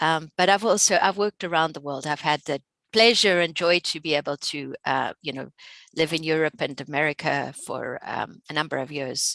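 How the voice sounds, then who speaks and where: In a South African accent, a woman speaks at a moderate pace with a very deep, low pitch and ordinary pitch variation. The sound is dry and close with no echo, over a quiet background. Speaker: researcher and instructor. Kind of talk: webinar presentation. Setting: online webinar. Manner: hesitant, many fillers.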